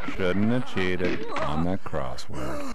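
A man's put-on, robotic character voice at a fairly slow pace, over loud background noise

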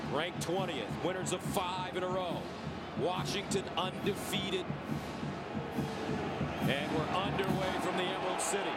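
Music plays in the background as a man talks. His pace is moderate, broken by long, frequent pauses. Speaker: play-by-play announcer. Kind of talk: commentary.

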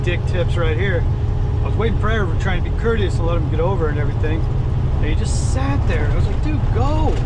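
The speech moves at a fairly quick pace over loud background noise. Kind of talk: casual vlog chat. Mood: wry, annoyed at traffic. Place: car.

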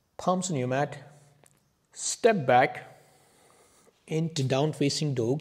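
A soft-spoken man talks very slowly, somewhat breathy, with long, frequent pauses. His pitch variation is ordinary, and the background is quiet. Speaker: yoga instructor. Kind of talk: guided yoga class, calm step-by-step cueing. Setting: video class on a yoga mat. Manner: calm, soft-spoken, slow and soothing; instructive, paced to breaths with pauses.

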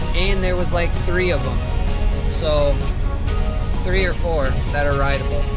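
A man speaks with a dry sound and no echo. Loud music plays in the background. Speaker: surfer vlogger. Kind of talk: casual vlog chat. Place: car. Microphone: phone near.

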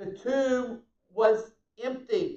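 A man's voice with audible room echo against a quiet background. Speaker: pastor. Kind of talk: prayer then sermon. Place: church. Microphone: camera far.

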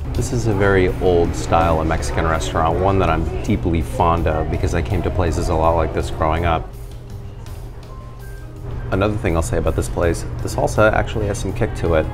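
A man with a very deep, low pitch at a fairly quick pace, ordinary pitch variation, and clear music in the background. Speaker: drink reviewer. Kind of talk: casual vlog chat. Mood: relaxed, fond. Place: bar.

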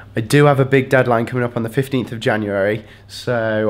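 Fairly quick male speech with fairly even intonation. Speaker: student vlogger. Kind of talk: casual vlog chat. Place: home room. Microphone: phone near.

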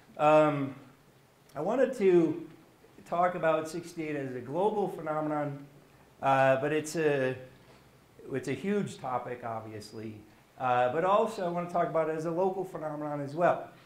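A man speaks with a fairly high pitch and lively intonation, leaving long, frequent pauses. Room echo is audible. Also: moderate pace. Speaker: history professor. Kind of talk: lecture. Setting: stage with audience. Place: classroom. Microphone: camera far.

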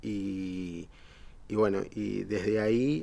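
A man talks in a Uruguayan accent. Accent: Rioplatense Spanish (Uruguayan). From Uruguay, Montevideo. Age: 50s. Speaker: poet and economist; poet. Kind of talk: poetry reading; interview. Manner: halting, many fillers and repetitions. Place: studio.

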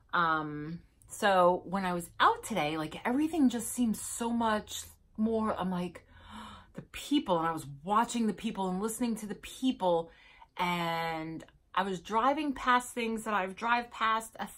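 A woman speaks with lively intonation at a fairly slow pace. The background is quiet. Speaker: vlogger. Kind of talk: casual vlog chat. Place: home room. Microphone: phone near.

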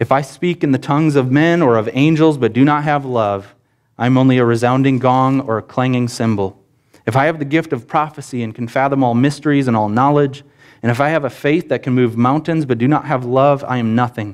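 Fairly quick and fairly even in intonation, a man does the talking. Nothing much stirs in the quiet background. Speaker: preacher. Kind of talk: sermon. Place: church.

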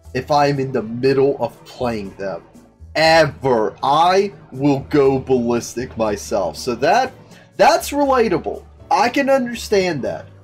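A man speaks at a very slow pace. Faint music plays in the background. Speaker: streamer reacting to a story. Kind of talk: casual commentary.

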